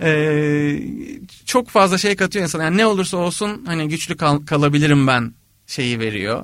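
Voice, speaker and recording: A man with an ordinary speaking voice talks at a moderate pace with a fairly high pitch and lively intonation, on a very clean recording with a silent background. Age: 30s. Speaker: composer. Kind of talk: interview conversation.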